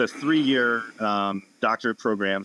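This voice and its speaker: With an American accent, a man speaks at a fairly low pitch in a bright, sharp tone, with a dry, close sound with no echo on a very clean recording with a silent background. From Massachusetts, south of Boston. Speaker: physical therapist and wellness clinic owner. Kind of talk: podcast interview.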